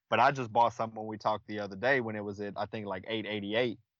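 A man with a Texan accent at a medium pitch, against a quiet background. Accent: Texan American. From Texas (Killeen). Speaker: guest. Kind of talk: casual chat.

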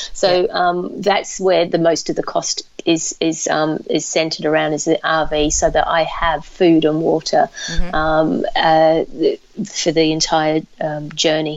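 Over noticeable background noise, a woman speaks at a fairly slow pace with very even loudness. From Australia. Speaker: ultrarunner. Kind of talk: interview. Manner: halting.

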